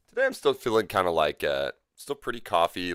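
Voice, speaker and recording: Here a man is speaking. The recording is very clean with a silent background, dry and close with no echo. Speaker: gaming streamer. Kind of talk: live gameplay stream chat. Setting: livestream. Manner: casual, hesitant with fillers.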